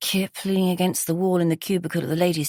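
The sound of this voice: An unforced reading voice is heard throughout.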